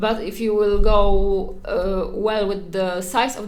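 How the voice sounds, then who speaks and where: Someone speaks with a Polish accent, with audible room echo. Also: woman. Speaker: art streamer. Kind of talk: painting livestream tutorial. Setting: livestream at home. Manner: hesitant, many fillers.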